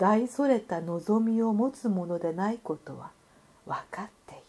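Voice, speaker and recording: Very slow speech from a woman, fairly high in pitch, with a dark, mellow tone. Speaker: narrator. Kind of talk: literary essay reading.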